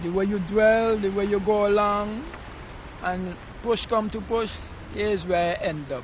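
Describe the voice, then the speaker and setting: Someone with a Vincentian accent speaks at a fairly slow pace with ordinary pitch variation and long, frequent pauses, amid noticeable background noise and audible room echo. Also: man, high pitch for a man. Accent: Vincentian Caribbean. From Saint Vincent, West Indies. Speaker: homeless man. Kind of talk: street interview. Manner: halting.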